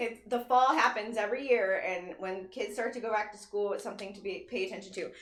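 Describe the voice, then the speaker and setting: Over noticeable background noise and audible room echo, a woman with a fairly high pitch speaks at a very fast pace with hardly any pauses, fairly even intonation, and big swings in loudness. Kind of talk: casual chat.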